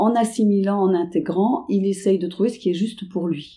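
A woman's medium-pitched voice with a dark, mellow tone, on a very clean recording with a silent background. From Paris suburbs, France. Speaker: dance teacher. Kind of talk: interview.

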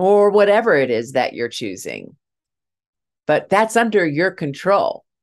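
Over a quiet background, a woman at medium pitch talks at a fairly slow pace with vocal fry, very wide pitch swings and long, frequent pauses. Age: 60s. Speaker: grief podcast host and speaker. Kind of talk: solo motivational talk.

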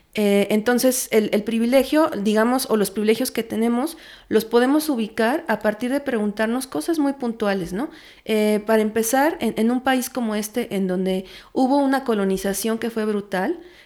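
Heard here is an unremarkable speaking voice with ordinary pitch variation at a moderate pace. The recording is very clean, with a silent background. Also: woman. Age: 30s. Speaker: feminist researcher. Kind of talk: interview.

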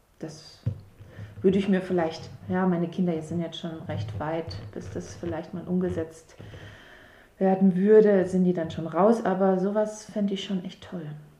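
Speaking at a fairly slow pace with long, frequent pauses, a woman shows ordinary pitch variation and big swings in loudness, with audible room echo in the recording. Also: medium pitch for a woman. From southern Baden-Württemberg. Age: 30s. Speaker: mother of four, local resident. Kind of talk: podcast interview. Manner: hesitant, many fillers.

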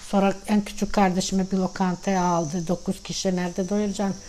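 This woman speaks at a medium pitch with a dark, mellow tone. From Sandžak, Serbia (Tutin), Bosniak family; moved to Turkey at 13. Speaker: grandmother sharing family history. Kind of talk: casual family interview, life story.

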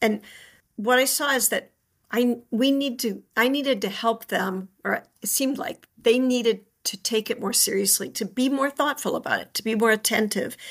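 A high-pitched woman's voice at a moderate pace, with ordinary pitch variation. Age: 60s. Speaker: homemaker and writer on home life. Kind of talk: interview conversation. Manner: halting with frequent restarts.

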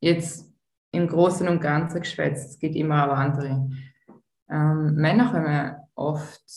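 Somewhat breathy and very deep, low in pitch, a woman speaks at a very slow pace with long, frequent pauses, big swings in loudness, ordinary pitch variation and audible room echo. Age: 40s. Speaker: tantra massage therapist. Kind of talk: interview.

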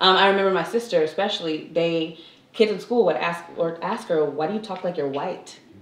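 Noticeable background noise and audible echo in the room around a woman's voice. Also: fairly low pitch for a woman, ordinary pitch variation, fairly quick pace. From California, San Fernando Valley. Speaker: actress. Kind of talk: casual chat.

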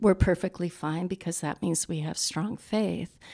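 Vocal fry marks a woman's fairly low voice, moving at a moderate pace with ordinary pitch variation in a dry, close sound with no echo on a very clean recording with a silent background. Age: 60s. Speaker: suicide widow sharing grief story. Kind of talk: interview testimony.

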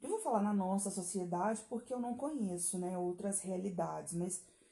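Pitch varies in an ordinary way at a moderate pace. The tone is dark and mellow, with some breathiness. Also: woman. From Brazil. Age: 30s. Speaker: podcast host. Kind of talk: solo monologue commentary. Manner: animated.

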